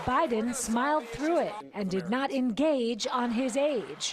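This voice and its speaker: A woman speaks at a high pitch with lively intonation and very even loudness. Noticeable background noise runs behind her. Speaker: TV news reporter. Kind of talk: TV news field report.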